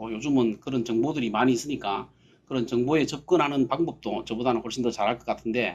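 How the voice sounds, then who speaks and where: The voice belongs to a man. He talks at a medium pitch. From Gyeongsang region, Korea (Daegu). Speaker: company CEO, guest speaker. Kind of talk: seminar talk. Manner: halting, many fillers.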